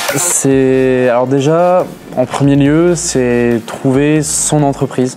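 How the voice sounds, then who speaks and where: With music in the background, a man speaks at a very slow pace and very even loudness, keeping a medium pitch and fairly even intonation. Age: 20s. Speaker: graduate apprentice. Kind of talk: interview testimony. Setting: graduation ceremony. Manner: hesitant, many fillers and repetitions.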